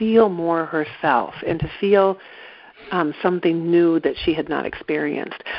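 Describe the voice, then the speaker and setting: This is an unremarkable speaking voice with an American accent. It moves at a moderate pace. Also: woman. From East Central Iowa, US Midwest. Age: 60s. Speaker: movement therapy practitioner. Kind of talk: guided exercise.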